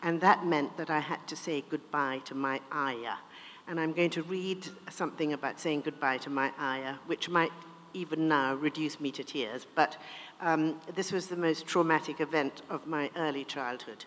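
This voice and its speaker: In a British accent, a woman with a very deep, low pitch speaks at a moderate pace with fairly even intonation. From India then England. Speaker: author. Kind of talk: interview; reading aloud.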